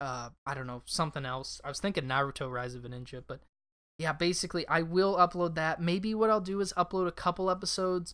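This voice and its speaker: A woman with a fairly low pitch speaks at a very fast pace with lively intonation, recorded very cleanly against a silent background. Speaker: gaming YouTuber podcast host. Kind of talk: solo casual podcast talk. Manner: filler-heavy, halting.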